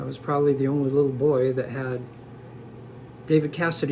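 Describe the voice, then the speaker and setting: Audible room echo surrounds a man with an American accent whose fairly high pitch holds a monotone, flat intonation. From Southern California, San Diego. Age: 60s. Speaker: interviewee sharing life story. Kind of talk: personal testimony.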